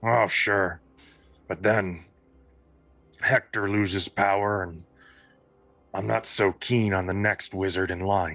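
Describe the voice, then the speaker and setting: Putting on a raspy character voice, a man speaks at a fairly slow pace in a fairly low pitch, flat and monotone, with long, frequent pauses. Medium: actual play. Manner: blunt, gruff, matter-of-fact.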